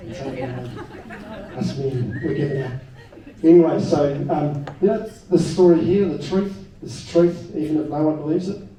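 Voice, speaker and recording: A man with a New Zealand accent speaks with lively intonation and big swings in loudness, against noticeable background noise and audible room echo. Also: fairly high pitch for a man, moderate pace. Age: 50s. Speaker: political party leader, ex-police detective. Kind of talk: political rally speech.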